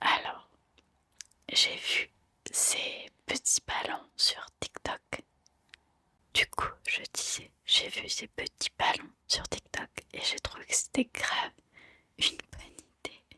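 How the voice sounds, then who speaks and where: The voice is whispering. It goes very slowly, broken by long, frequent pauses. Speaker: ASMR content creator. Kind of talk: ASMR unboxing video, casual talk to camera. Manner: soft, relaxed, whispering at times.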